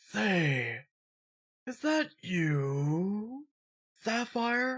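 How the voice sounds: A put-on character voice, fairly high and hissing, swings very widely in pitch.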